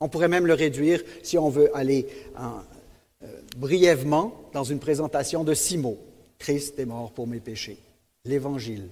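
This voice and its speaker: In a dark, mellow tone, a man speaks at a fairly slow pace with fairly high pitch, ordinary pitch variation, big swings in loudness and long, frequent pauses. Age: 70s. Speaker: preacher. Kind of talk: sermon.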